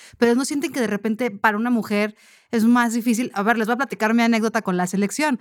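A woman with a fairly high pitch talks at a very fast pace with fairly even intonation on a very clean recording with a silent background. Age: 30s. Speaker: sports journalist, podcast host. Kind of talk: casual chat.

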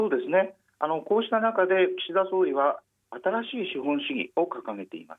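This man's pitch is high, and his intonation is lively. He keeps a moderate pace. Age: 50s. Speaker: newspaper journalist. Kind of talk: radio interview. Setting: phone call.

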